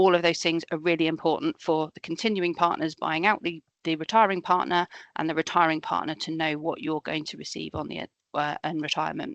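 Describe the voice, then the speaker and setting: Against a quiet background, a woman with a fairly low voice talks at a fairly quick pace in a dry, close sound with no echo. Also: fairly even intonation. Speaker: accountant. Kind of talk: webinar presentation. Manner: fast.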